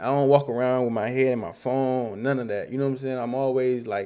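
A man speaks at a very fast pace with a medium pitch and a dark, mellow tone. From Rockford, Illinois. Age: 20s. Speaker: musician. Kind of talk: casual interview. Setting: studio.

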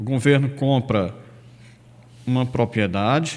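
A man speaks very slowly, keeping a medium pitch with ordinary pitch variation. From Ceará, Brazil (Irauçuba). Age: 50s. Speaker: former rural union leader and local politician. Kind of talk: radio interview. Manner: halting, with repetitions.

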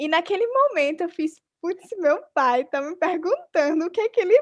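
A woman speaks with an extremely high pitch. Her pace is moderate and her intonation lively. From Brazil, Alagoas (Arapiraca). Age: 20s. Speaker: podcast host, entrepreneur. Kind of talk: interview conversation.

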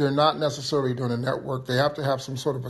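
This man's voice is somewhat breathy, at a medium pitch. He speaks with monotone, flat intonation. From Johannesburg, South Africa. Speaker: audience participant.

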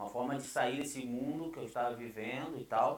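Speaking at a fairly quick pace in a medium pitch, a man keeps his intonation fairly even while audible room echo surrounds him. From Brazil. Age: 30s. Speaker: pastor. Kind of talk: casual interview chat.

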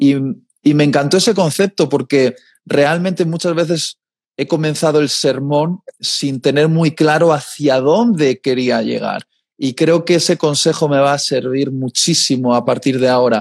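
A man with a fairly high voice speaks at a fairly slow pace, the sound dry and close with no echo in a very clean recording with a silent background. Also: ordinary pitch variation. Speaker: preacher. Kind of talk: casual chat. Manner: deliberate, clearly enunciated.

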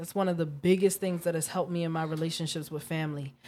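Woman with a normal speaking voice, fairly low pitch and ordinary pitch variation, on a very clean recording with a silent background. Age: 20s. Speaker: podcast host. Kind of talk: casual chat.

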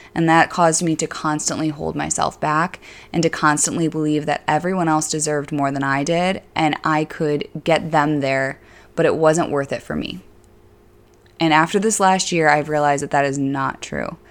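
On a very clean recording with a silent background, a woman with an Upstate New York accent speaks at a moderate pace in a very deep, low voice with monotone, flat intonation. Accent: Upstate New York (Inland North) American. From Syracuse, central New York State. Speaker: fitness coach and podcast host. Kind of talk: casual monologue. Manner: many filler words.

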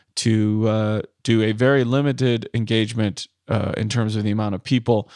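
A man with an American accent speaks in an ordinary speaking voice at a medium pitch, his intonation fairly even, the sound dry and close with no echo over a quiet background. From US Midwest. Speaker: podcast host and comedian. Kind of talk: monologue; casual interview.

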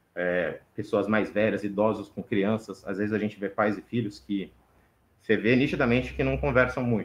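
Against a quiet background, a man with an unremarkable speaking voice talks at a moderate pace and medium pitch with ordinary pitch variation. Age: 30s. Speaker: game maker and cultural educator. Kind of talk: casual chat.

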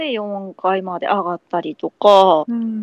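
Her voice has a Kansai accent. The woman speaks at a medium pitch. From Kansai, Japan. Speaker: podcast guest, third-generation Korean resident of Japan. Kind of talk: casual chat.

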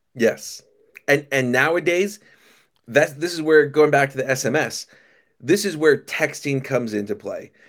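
A man's fairly high voice at a moderate pace, broken by long, frequent pauses. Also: ordinary pitch variation. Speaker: restaurant software company founder. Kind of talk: casual interview chat. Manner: casual, friendly.

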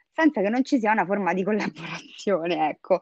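A woman's medium-pitched voice at a fairly quick pace, with ordinary pitch variation and a dry, close sound with no echo. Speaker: Instagram creator. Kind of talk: casual chat about dating and sex. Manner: tender when recalling a memory.

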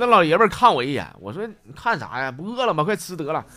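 A man in a Northeastern Chinese accent, animated in tone, with very wide pitch swings at a fairly quick pace over music in the background. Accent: Northeastern Mandarin. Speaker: comedy podcast host. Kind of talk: comic storytelling.

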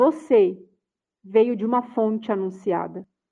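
This woman speaks at a fairly high pitch. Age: 40s. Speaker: personal development consultant. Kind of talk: online lecture. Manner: animated.

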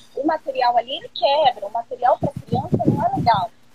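A high-pitched woman at a fairly quick pace with very wide pitch swings and noticeable background noise. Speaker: educator. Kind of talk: casual chat. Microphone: audio a bit quiet.

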